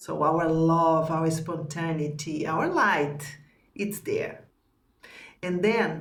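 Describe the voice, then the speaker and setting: A woman's fairly low voice at a very slow pace, with fairly even intonation and audible room echo. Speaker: spiritual teacher. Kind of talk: teaching conversation.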